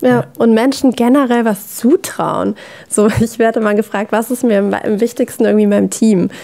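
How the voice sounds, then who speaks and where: The background is quiet as a woman talks at a moderate pace. Her loudness stays very even. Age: 20s. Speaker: former athlete, learning design consultant; podcast guest. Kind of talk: casual chat. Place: studio.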